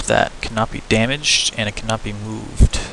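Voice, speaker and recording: A man talks at a moderate pace. Noticeable noise runs in the background. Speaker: game level design tutorial maker. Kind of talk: screen-recorded tutorial. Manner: hesitant, many fillers; self-admitted stuttering.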